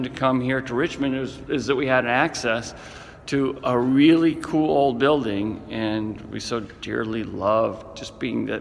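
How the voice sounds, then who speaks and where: Noticeable background noise sits behind a man at medium pitch. He talks at a fairly slow pace with lively intonation. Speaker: brewery co-founder and executive chairman. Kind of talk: casual talk to camera.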